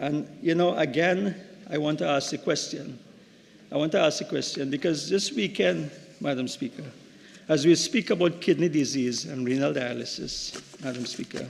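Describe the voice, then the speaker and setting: Fairly high in pitch, a man's voice carries vocal fry. He talks at a moderate pace with lively intonation. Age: 60s. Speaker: member of parliament, doctor. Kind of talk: parliamentary budget debate speech. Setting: parliament chamber. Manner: halting, many repeated words.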